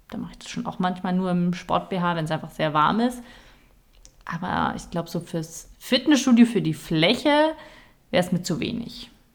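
Her voice is somewhat breathy and medium in pitch, with lively intonation and big swings in loudness. The recording is very clean, with a silent background. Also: moderate pace. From Nuremberg, Franconia (Germany). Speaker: podcast co-host, sports news presenter. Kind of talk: casual chat.

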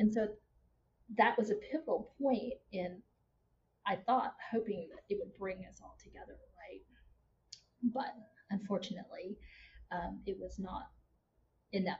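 A woman speaks at a fairly slow pace with a slight Texas accent. Her delivery has long, frequent pauses and big swings in loudness. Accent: slight Texas twang. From Houston, Texas. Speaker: marketing consultant and instructor. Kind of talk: casual interview conversation.

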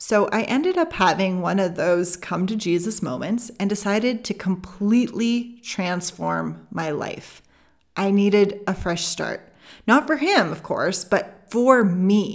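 A woman speaks with a Canadian accent, at a medium pitch and a fairly slow pace. Her pitch varies in an ordinary way, and she has an ordinary speaking voice. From Canada. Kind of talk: solo podcast teaching.

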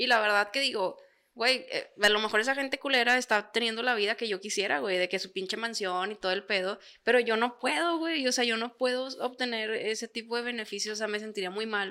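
This woman talks at a fairly quick pace with a fairly high pitch. Her tone is bright and sharp, and her pitch varies in an ordinary way. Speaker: podcast co-host. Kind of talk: casual chat.

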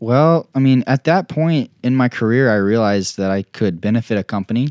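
Using a normal speaking voice, a man talks at a fairly quick pace with lively intonation, his sound dry and close with no echo on a very clean recording with a silent background. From Oklahoma, Tulsa. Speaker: professional disc golfer. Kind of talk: casual interview. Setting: Airbnb bedroom.

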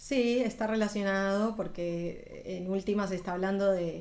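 In a room with audible echo, a woman of medium pitch talks at a very slow pace with fairly even intonation. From Colombia (Bogotá, Medellín). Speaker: singer. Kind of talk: interview.

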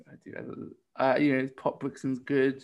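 A man's medium-pitched voice at a very slow pace. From Essex, England. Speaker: podcast co-host. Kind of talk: casual interview chat. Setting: video call.

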